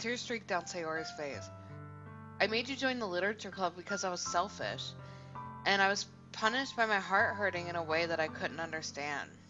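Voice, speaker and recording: Over music in the background, a woman talks fairly quickly at a medium pitch with lively intonation. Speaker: let's play gamer. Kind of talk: reading visual novel dialogue aloud.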